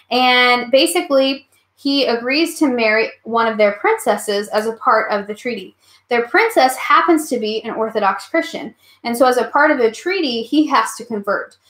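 A woman speaks at a moderate pace in a high voice with lively intonation, and audible echo fills the room. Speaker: history teacher. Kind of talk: online class review lecture. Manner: animated. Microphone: webcam.

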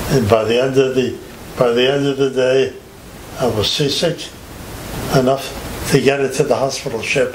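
A man speaks with a New York accent at a fairly high pitch. Audible room echo and light background noise surround him. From Catskill Mountains, New York and the Bronx. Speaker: war veteran. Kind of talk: casual chat. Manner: halting. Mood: amused, reminiscing. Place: home room.

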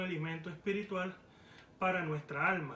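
A man talks at a fairly quick pace in a high pitch with fairly even intonation. Audible room echo and light background noise come through. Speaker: preacher. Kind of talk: sermon. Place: home room. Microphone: phone near.

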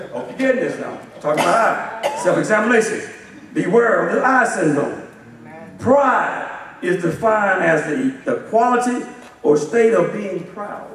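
Audible room echo surrounds a man with a Southern US accent who speaks at a fairly slow pace in a high pitch with lively intonation. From US South, Alabama. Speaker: assistant pastor. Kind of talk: sermon. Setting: church. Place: church.

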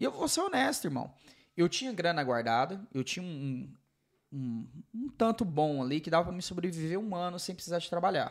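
Here a man speaks in a high pitch with lively intonation and a fairly quick pace. The background is quiet. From Brazil. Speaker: podcast host. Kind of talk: casual interview chat. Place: studio. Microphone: studio mic.

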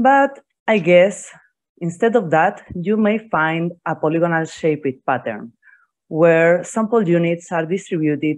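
A woman speaks at a fairly slow pace in a normal speaking voice, with fairly low pitch and lively intonation over a quiet background. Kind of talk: conference lecture. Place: home room.

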